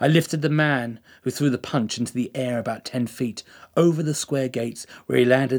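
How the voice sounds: The speaker uses a natural reading voice. Nothing else stands out.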